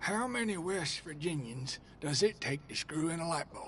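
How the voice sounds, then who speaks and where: A man speaks at a moderate pace in a raspy, high-pitched put-on character voice, with clear background noise behind him. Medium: video game. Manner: folksy, teasing.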